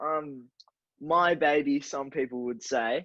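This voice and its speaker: Ordinary pitch variation marks the speech of a man with an Australian accent. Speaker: podcast co-host. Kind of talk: casual chat. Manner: slurring words.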